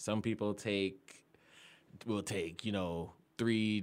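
A man with an American accent and an ordinary speaking voice talks at a fairly low pitch on a very clean recording with a silent background. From Florida. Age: 20s. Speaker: podcast guest. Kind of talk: casual chat.

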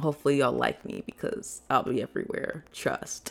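In an American accent, a woman with a very deep, low pitch talks at a fairly quick pace in an animated tone. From US Midwest, Chicago. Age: 20s. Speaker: content creator, podcast host. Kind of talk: solo casual monologue. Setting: solo podcast recording.

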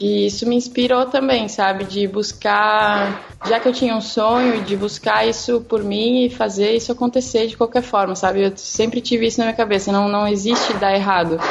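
In a normal speaking voice, a woman talks at a moderate pace with a fairly high pitch, fairly even intonation, very even loudness and hardly any pauses. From southern Brazil (Rio Grande do Sul). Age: 20s. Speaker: portrait photographer. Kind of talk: casual chat.

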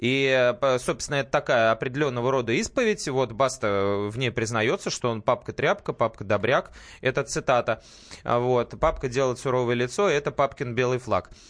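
An ordinary speaking voice from a man, medium in pitch with ordinary variation, at a moderate pace over a quiet background. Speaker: radio host. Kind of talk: casual chat. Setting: studio.

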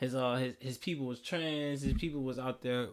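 Fairly even intonation from a man with an American accent. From Houston, Texas. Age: 20s. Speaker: podcast co-host. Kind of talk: casual chat.

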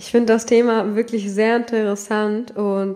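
A woman talks at a fairly slow pace in a medium pitch. Her intonation is monotone and flat. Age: 20s. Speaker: solo podcast host. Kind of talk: casual monologue.

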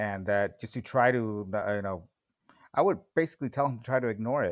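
With a Californian accent, a man speaks at a fairly low pitch. His pitch varies in an ordinary way. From US West Coast (West San Fernando Valley, Los Angeles). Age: 40s. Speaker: guest. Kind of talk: casual interview conversation. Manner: halting, many fillers.

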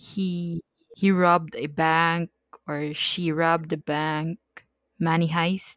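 At a very slow pace, a woman speaks in a fairly low pitch with monotone, flat intonation, and the sound is dry and close with no echo. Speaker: podcast co-host. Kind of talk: casual chat.

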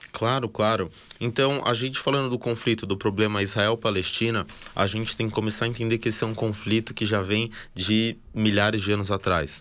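A man speaks at a fairly quick pace with fairly even intonation and a fairly low pitch, in an unremarkable speaking voice. The recording is very clean with a silent background. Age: 20s. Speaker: army reservist, former combat soldier. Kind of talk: interview, explanatory talk.

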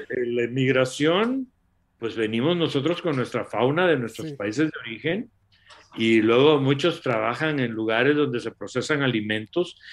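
An ordinary speaking voice, its pitch varying in an ordinary way, at a moderate speed. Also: man, medium pitch for a man. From Latin America. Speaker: doctor and nutrition product promoter. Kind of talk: live stream talk.

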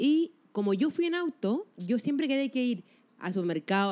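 A woman speaks in a Chilean accent at a high pitch. Her pitch swings very widely. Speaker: podcast co-host. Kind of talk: casual chat.

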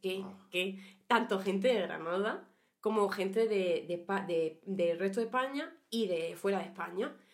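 A woman speaks with an Andalusian accent and ordinary pitch variation. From Andalusia, Huelva (Rociana del Condado). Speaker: podcast co-host. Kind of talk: casual chat.

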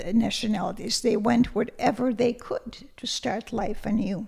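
A woman speaks with a Lithuanian accent. Her pitch is fairly high, with ordinary variation. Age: 80s+. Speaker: retired language teacher. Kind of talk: interview. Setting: studio.

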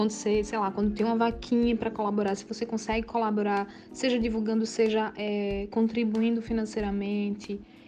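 A woman speaks at a fairly quick pace with hardly any pauses. Her intonation is monotone and flat, and there is noticeable background noise. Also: fairly high pitch for a woman. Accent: Pernambuco. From Pernambuco Agreste, Brazil (Limoeiro). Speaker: actress and acting teacher. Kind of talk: interview.

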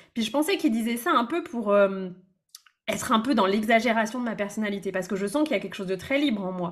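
A woman talks at a very fast pace in a fairly high, somewhat breathy voice. Her intonation is lively. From France, Brittany. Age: 30s. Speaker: business coach. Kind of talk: casual interview.

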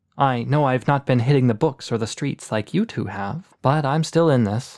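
Someone does plain reading aloud. Pitch moves in an ordinary way.

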